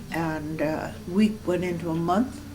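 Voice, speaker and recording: Music plays in the background. A woman with fairly low pitch speaks with ordinary pitch variation. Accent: American. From Moorhead, Minnesota. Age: 80s+. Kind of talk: oral history interview answer.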